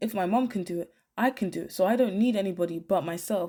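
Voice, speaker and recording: Recorded very cleanly over a silent background, a woman speaks with a British accent. Her medium-pitched voice has a dark, mellow tone and a moderate pace. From Britain. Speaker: YouTuber. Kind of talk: commentary video monologue.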